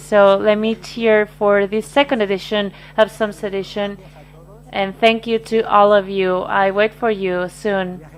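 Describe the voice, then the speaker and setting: Flat, monotone intonation from a woman at medium pitch and a fairly slow pace, over noticeable background noise. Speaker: wine event host. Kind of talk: closing remarks at online wine symposium.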